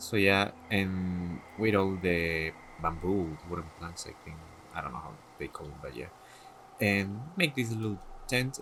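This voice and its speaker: A man with a non-native accent and a very deep, low pitch talks at a fairly slow pace with ordinary pitch variation and long, frequent pauses. His loudness swings widely, and there is noticeable background noise. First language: not English. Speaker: gaming content creator. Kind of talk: casual tutorial showcase. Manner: halting, hesitant.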